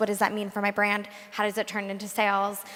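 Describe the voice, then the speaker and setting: A woman talks at a fairly high pitch while noticeable background noise carries on around her. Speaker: marketing executive. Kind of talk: panel discussion. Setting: stage with audience.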